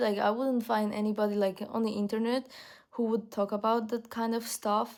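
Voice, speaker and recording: A woman with a non-native accent and a fairly high voice comes through on a very clean recording with a silent background. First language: not English. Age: young. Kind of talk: casual talk to camera. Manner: hesitant, many fillers.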